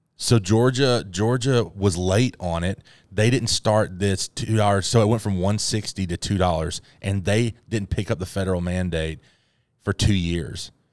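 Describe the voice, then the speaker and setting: In a very clean recording with a silent background, a man with a normal speaking voice talks at a moderate pace and fairly low pitch, with ordinary pitch variation. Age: 30s. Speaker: youth pastor podcast host. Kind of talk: casual chat.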